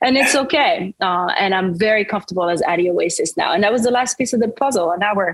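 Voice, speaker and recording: A fairly high-pitched woman with a French accent, fairly quick, her loudness very even. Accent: French, milder than it used to be. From France, Paris suburbs (French-Caribbean family). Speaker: singer-songwriter. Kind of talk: interview. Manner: casual, many fillers.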